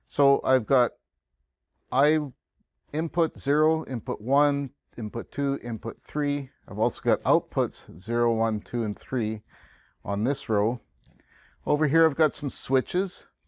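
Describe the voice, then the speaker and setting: A man in a Canadian accent, medium pitch, ordinary pitch variation, a fairly slow pace with long, frequent pauses, over a quiet background. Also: dry sound with no echo. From Canada. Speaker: college instructor. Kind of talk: tutorial. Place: classroom.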